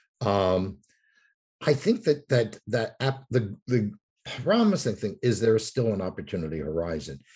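With an American accent, a man talks at a moderate pace in a medium pitch, his dark, mellow tone somewhat breathy and his intonation lively over a quiet background. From New York. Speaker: author and urban researcher. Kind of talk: interview.

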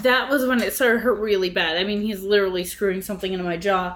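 The woman talks fairly quickly while noticeable background noise carries on. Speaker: podcast co-host. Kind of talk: reading headlines aloud; research presentation.

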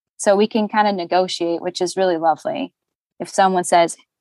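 This woman is heard with a dry, close sound with no echo. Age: 30s. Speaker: voiceover actor. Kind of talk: casual chat.

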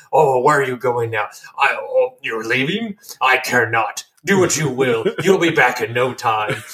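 Putting on a character voice, a man talks at a moderate pace in a medium pitch with ordinary pitch variation. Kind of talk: archaic, formal. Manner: dismissive.

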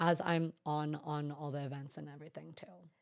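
Speaking at a fairly quick pace, a woman talks in an American accent. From US West Coast, Bay Area, Northern California. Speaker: event planner and genetic counselor. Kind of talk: interview conversation. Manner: calm.

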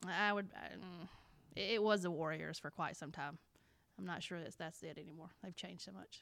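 With an Alabama accent, a woman talks fairly quickly at a fairly low pitch, showing vocal fry, big swings in loudness and ordinary pitch variation. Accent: Alabama Southern. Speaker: middle school science teacher. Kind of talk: casual interview chat. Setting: school.

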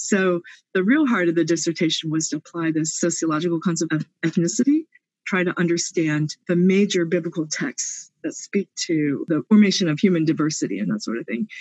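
At a fairly quick pace, a woman with a fairly low pitch and ordinary pitch variation speaks in an ordinary speaking voice. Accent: American. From US, Pennsylvania. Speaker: theology professor. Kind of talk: interview.

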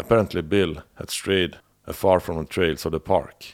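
A man with a European accent on a very clean recording with a silent background. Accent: non-native European-accented English. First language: not English. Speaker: podcast host. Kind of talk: scripted narration of a true-crime series. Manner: slightly halting, with filler words.

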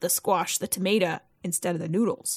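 A woman speaks at a moderate pace with ordinary pitch variation in a plain, everyday voice, on a very clean recording with a silent background. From Ontario, Canada. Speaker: podcast co-host. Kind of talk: casual chat.

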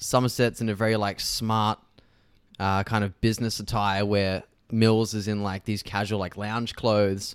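A man with an Australian accent speaks at a moderate pace and fairly low pitch in a monotone, flat intonation, recorded very cleanly against a silent background. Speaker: podcast co-host. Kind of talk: casual chat.

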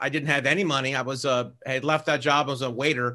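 Against a quiet background, a man with an American accent talks very fast in a bright, sharp tone. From US Midwest, Cleveland, Ohio. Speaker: author and real estate investor. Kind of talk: interview.

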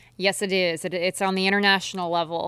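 With a Midwestern American accent, a woman speaks at a medium pitch in a flat, monotone way. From eastern Nebraska. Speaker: professional kayak angler. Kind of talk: interview.

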